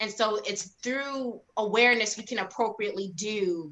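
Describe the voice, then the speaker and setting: A woman speaks with an American accent and fairly even intonation. Noticeable background noise runs behind her. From Baltimore County, Maryland. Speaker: discussion participant. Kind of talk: panel discussion. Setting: live stream.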